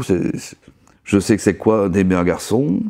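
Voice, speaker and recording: With a dark, mellow tone, a man talks at a fairly slow pace and ordinary pitch variation. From Belgium. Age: 60s. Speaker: interviewee. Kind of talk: testimony.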